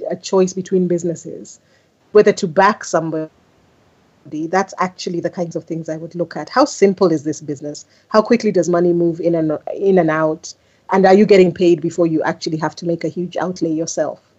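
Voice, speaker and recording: A woman talks at a fairly quick pace with a fairly low pitch. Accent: American. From Kenya. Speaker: business leader and investor. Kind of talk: interview.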